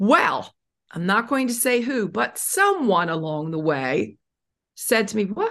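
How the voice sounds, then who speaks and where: The voice carries vocal fry and very wide pitch swings. It moves at a fairly slow pace. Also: woman. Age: 60s. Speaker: author and self-esteem speaker. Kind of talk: interview.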